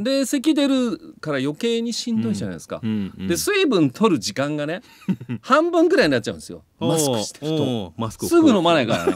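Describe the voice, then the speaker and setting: A man talks at a very fast pace. The sound is dry with no echo. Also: big swings in loudness. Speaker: voice actor. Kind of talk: casual radio talk show banter. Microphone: studio mic.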